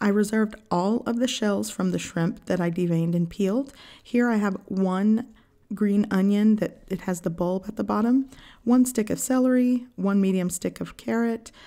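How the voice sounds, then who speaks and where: A woman talks at a moderate pace in a dark, mellow tone. Her pitch varies in an ordinary way, and the background is quiet. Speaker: home cook channel host. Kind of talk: cooking tutorial narration. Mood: warm, friendly. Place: kitchen.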